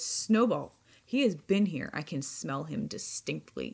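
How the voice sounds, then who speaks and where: Someone uses a put-on character voice at a middle pitch, speaking at a fairly slow pace. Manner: terrible, menacing.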